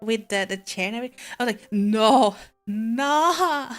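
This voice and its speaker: Over music in the background, a woman with a Swedish accent speaks at a fairly high pitch with lively intonation. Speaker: vtuber streamer. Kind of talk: casual chat.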